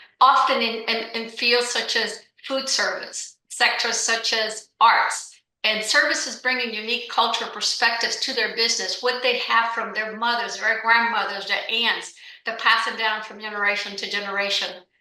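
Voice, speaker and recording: A woman's fairly high, flat, monotone voice with audible room echo. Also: moderate pace. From Cuba. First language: Spanish. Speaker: business owner. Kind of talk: podcast interview.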